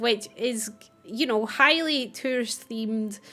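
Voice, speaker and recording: With music playing in the background, a woman speaks in a Scottish accent. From Scotland. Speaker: gaming YouTuber. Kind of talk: gameplay commentary. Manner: casual.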